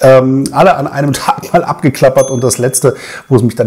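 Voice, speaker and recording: A man speaks at a fairly quick pace. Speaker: beer reviewer. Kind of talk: casual vlog chat. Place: home room.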